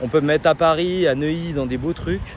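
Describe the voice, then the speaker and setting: A man's voice against noticeable background noise. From France. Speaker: medical student vlogger. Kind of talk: spontaneous vlog monologue. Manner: halting, many repetitions and fillers; fast.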